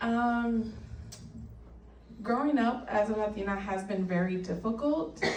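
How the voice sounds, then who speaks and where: With long, frequent pauses, a woman speaks at a fairly slow pace amid noticeable background noise and audible room echo. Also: fairly high pitch for a woman, ordinary pitch variation. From El Salvador. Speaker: patient advocate. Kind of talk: panel discussion.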